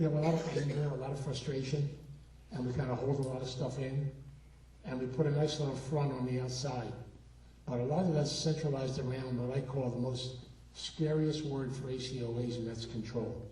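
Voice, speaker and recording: The man talks at a fairly quick pace in a flat monotone, his pitch medium. The room echo is audible, and background noise is noticeable. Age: 70s. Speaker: recovery speaker and therapist. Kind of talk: keynote talk. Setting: stage with audience.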